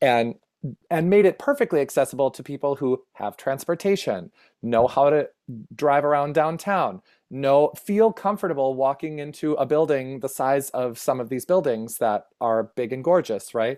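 With an American accent, a man has an unremarkable speaking voice, fairly high in pitch, with lively intonation at a moderate pace. The sound is dry and close with no echo on a very clean recording with a silent background. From rural Minnesota, US Upper Midwest. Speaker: performer, educator, producer and playwright. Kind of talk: casual interview chat.

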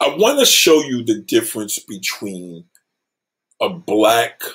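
A man speaks at a fairly slow pace. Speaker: livestream host. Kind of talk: casual livestream rant. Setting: home livestream. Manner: loud.

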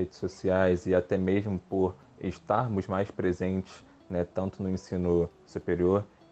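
A man's very deep, low voice, dark and mellow in tone, in a monotone, flat intonation. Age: 20s. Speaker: environmental scientist. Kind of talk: panel discussion. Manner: hesitant, many filler sounds.

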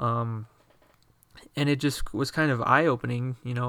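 A man's normal speaking voice at a medium pitch and moderate pace, with fairly even intonation, on a very clean recording with a silent background. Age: 20s. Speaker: fitness podcast host. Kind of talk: solo podcast monologue. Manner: casual with many filler words.

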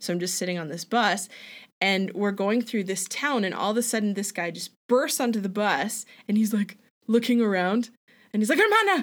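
In a Canadian accent, a woman with a normal speaking voice talks at a moderate pace and medium pitch with ordinary pitch variation, on a very clean recording with a silent background. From Alberta, Canada. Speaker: returned missionary, front desk worker. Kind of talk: casual interview.

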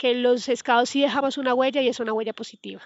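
A woman speaks at a high pitch. Her intonation stays fairly even. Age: 30s. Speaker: scout program coordinator. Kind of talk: interview answers.

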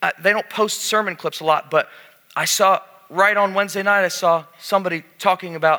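Someone doing a plain reading aloud.

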